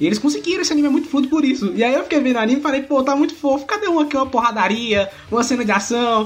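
Very fast speech from a man, with noticeable background noise. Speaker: podcaster. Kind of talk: casual chat.

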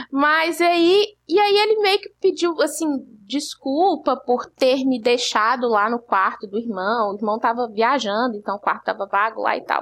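Very wide pitch swings in a woman's high voice. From Belo Horizonte, Brazil. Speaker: podcast host. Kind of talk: casual chat.

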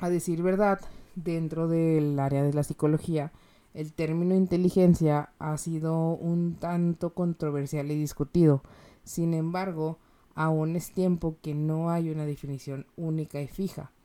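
A woman speaks slowly at a fairly low pitch with a dark, mellow tone. Her intonation is monotone and flat. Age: 20s. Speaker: podcast host and clinical psychologist. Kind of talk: solo educational talk.

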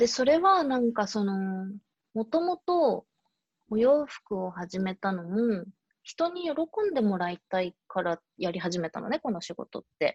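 A woman's fairly high, somewhat breathy voice moves through very wide pitch swings at a fairly slow pace. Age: 30s. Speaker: fashion company owner and climate activist. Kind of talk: casual interview chat. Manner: many hesitation fillers.

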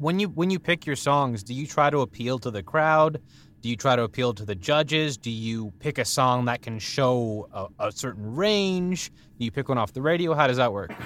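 On a very clean recording with a silent background, a man uses a plain, everyday voice at medium pitch, a moderate pace and lively intonation. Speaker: podcast co-host. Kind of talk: casual interview chat.

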